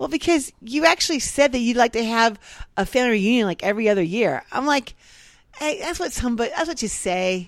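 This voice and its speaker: A woman speaks at a very fast pace with very wide pitch swings. The recording is very clean, with a silent background. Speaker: podcast co-host. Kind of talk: casual chat. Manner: chatty, joking.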